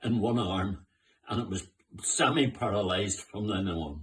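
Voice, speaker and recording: Somewhat breathy, a man speaks in a fairly low pitch. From Northern Ireland, Belfast. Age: 90s. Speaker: war-time eyewitness. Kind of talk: oral history testimony. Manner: halting, with repetitions.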